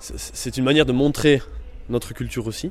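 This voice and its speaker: This is a man speaking. His pace is moderate. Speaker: youth association member. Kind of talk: interview. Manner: halting, many hesitations.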